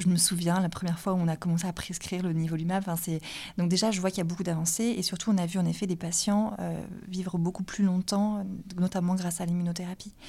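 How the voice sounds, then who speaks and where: A woman's somewhat breathy, dark, mellow voice at a very fast pace, with monotone, flat intonation, on a very clean recording with a silent background. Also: medium pitch for a woman. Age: 20s. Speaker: oncology resident doctor. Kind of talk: medical consultation.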